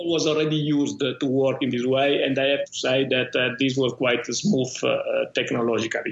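A man in an Italian accent, medium-pitched and moderately paced, with fairly even intonation, very even loudness and noticeable background noise. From Italy. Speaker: tech company founder and CEO. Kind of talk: interview. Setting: remote call.

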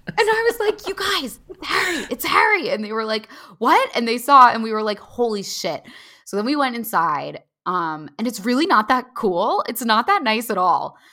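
With a Valley Girl accent, a woman talks at a moderate pace in a high, bright, sharp, animated voice with very wide pitch swings, in a very clean recording with a silent background. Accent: American, self-described Valley Girl. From US, New Jersey Shore. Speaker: writer and comedian. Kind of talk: casual chat.

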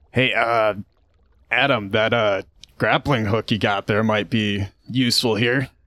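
Doing a raspy put-on character voice at medium pitch, a man speaks at a fairly slow pace with fairly even intonation and long, frequent pauses, the sound dry and close with no echo. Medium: actual play. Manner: casual, wry.

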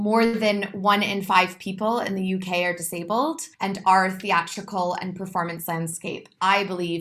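A woman's medium-pitched voice with a Californian accent, fairly slow and fairly even in intonation. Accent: American (Californian). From California, US. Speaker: movement director and choreographer. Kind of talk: interview.

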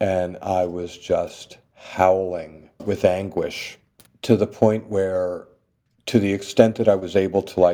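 Very slow, fairly low-pitched male speech with a dark, mellow tone and fairly even intonation. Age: 40s. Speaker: leather titleholder and contest judge. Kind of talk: casual interview.

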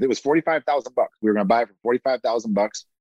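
A man talks with an American accent. His intonation is lively. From US Midwest, Toledo, Ohio. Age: 40s. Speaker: real estate investor. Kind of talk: interview.

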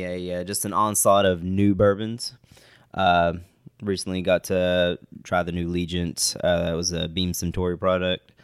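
On a very clean recording with a silent background, a man with an Appalachian accent speaks at a moderate pace in a very deep, low pitch. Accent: Appalachian Kentucky. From West Liberty, eastern Kentucky. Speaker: bourbon enthusiast, podcast co-host. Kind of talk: casual chat.

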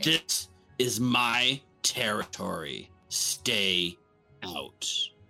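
A man uses a put-on character voice at a fairly low pitch and a very slow pace. Faint music sits in the background. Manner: menacing, warning.

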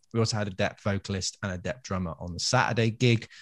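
In a very clean recording with a silent background, a man with an English accent talks at a fairly quick pace. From England. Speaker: music podcast co-host, gigging musician. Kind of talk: casual chat. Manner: animated.

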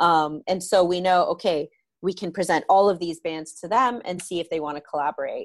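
A woman with a Canadian accent has a normal speaking voice, fairly low in pitch with ordinary pitch variation. The sound is dry and close with no echo. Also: fairly quick pace. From London, Ontario, Canada. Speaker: music festival director. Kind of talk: interview.

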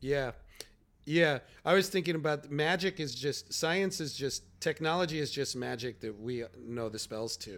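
A man with a Chicago accent, fairly high-pitched, at a moderate pace. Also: lively intonation. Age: 40s. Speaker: comedian podcast co-host. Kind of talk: casual chat.

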